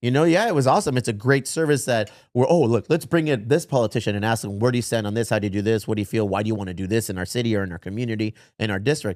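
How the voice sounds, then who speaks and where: On a very clean recording with a silent background, a man talks at a very fast pace in an animated tone. His medium pitch shows ordinary pitch variation. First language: Spanish. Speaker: podcast host. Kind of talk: casual chat.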